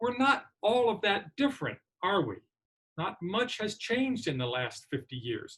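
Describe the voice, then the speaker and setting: Speaking at a moderate pace with an American accent, a man uses a high pitch and very wide pitch swings. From United States. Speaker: commencement speaker. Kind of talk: commencement speech. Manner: formal.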